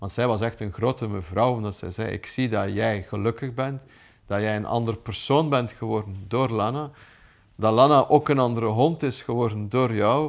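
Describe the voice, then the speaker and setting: A man with a Flemish accent talks at a moderate pace with ordinary pitch variation. The background is quiet. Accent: Flemish Dutch. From Flanders, Belgium. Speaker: businessman and dog owner. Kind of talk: interview testimony; interview answer. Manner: hesitant with fillers. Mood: warm, reflective. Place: home room.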